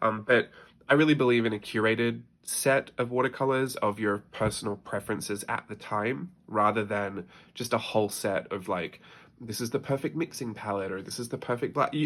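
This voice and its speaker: In a very clean recording with a silent background, a man with an Australian accent speaks at a moderate pace and medium pitch with ordinary pitch variation. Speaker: artist. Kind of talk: casual talk to camera. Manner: chatty.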